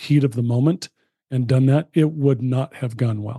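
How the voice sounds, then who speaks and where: A man's somewhat breathy, medium-pitched voice with an American accent, dark, mellow tone, moderate pace, and a dry, close sound with no echo. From US West Coast (San Fernando Valley, California). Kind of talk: casual chat.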